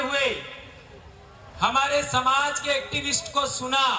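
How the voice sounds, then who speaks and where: Over noticeable background noise and audible room echo, a raised, projected voice moves at a very slow pace. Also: man. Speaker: activist speaker, teacher. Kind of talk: public speech at rally. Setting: stage with crowd in tent. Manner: forceful.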